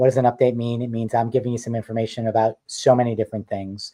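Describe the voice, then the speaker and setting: Over a quiet background, a man with a slight New York accent talks at a very fast pace in a medium pitch, his dark, mellow tone held in monotone, flat intonation with a dry, close sound and no echo. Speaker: mixed-media artist and designer. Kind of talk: live stream chat. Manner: casual, chatty.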